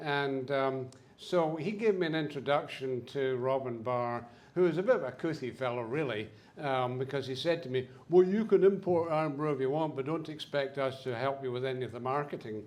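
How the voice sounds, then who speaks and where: Audible room echo surrounds a man with a Scottish accent who speaks at a moderate pace and fairly high pitch, with ordinary pitch variation. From Scotland. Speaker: business owner, speaker. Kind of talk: symposium talk. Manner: halting, many fillers.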